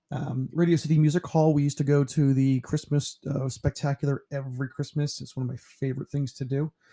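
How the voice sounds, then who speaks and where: A man with an American accent, fairly high pitch, and a dark, mellow, somewhat breathy tone, fairly quick with hardly any pauses, monotone and flat intonation, and a dry, close sound with no echo. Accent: slight New York accent, stronger when tired. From New York (Pearl River), later Ohio. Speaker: teacher. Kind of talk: casual self-introduction presentation. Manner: relaxed, with frequent fillers.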